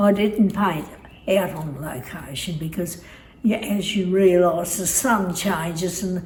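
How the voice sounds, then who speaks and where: Over noticeable background noise and audible room echo, a woman speaks very slowly in a fairly low voice with ordinary pitch variation. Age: 90s. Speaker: elderly interviewee. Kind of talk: casual interview.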